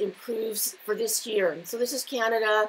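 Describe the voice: Her voice has vocal fry and a slightly husky edge, pitched fairly high for a woman. She talks at a fairly slow pace.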